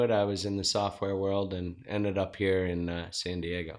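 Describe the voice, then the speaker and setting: On a very clean recording with a silent background, a man with a fairly low pitch speaks at a moderate pace. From Zimbabwe. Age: 40s. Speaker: entrepreneur and former Marine. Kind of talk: interview.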